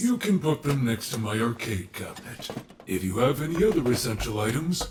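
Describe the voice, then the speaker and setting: A man's put-on character voice at medium pitch, fairly quick in pace, with clear background noise. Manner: polite, formal.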